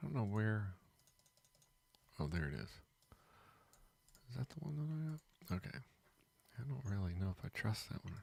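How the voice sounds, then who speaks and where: Somewhat breathy and fairly low in pitch, a man speaks with very wide pitch swings and long, frequent pauses. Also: moderate pace. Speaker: day trading streamer. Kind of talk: live stream chat. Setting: live stream.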